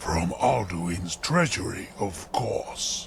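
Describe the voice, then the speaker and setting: A man puts on a raspy character voice at a fairly low pitch. He talks at a very slow pace over clear background noise. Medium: game mod dialogue. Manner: formal, archaic phrasing.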